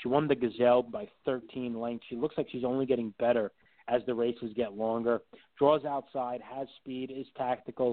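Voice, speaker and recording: A man with a normal speaking voice talks at a moderate pace, his medium pitch carrying fairly even intonation. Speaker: horse racing TV analyst, handicapper. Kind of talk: casual interview.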